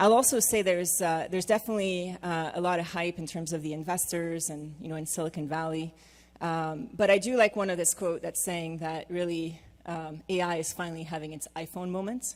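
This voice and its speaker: A woman's fairly low voice at a fairly quick pace, with fairly even intonation. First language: not English. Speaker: management consultant and former AI scientist. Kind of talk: conference panel presentation. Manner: hesitant with frequent fillers.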